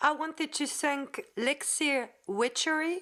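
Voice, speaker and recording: A woman with a French accent speaks at a very slow pace with lively intonation. The recording is very clean, with a silent background. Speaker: Wiccan content creator. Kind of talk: casual outro appeal to viewers; tutorial. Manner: halting, many fillers.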